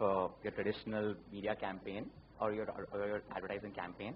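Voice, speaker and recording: A man speaks with a somewhat breathy voice. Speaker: advertising executive. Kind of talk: panel discussion. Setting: stage with audience.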